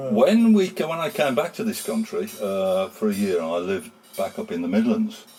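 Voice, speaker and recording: With music in the background, a man speaks at a moderate pace in a high voice that makes very wide pitch swings. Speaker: town crier. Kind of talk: interview answer.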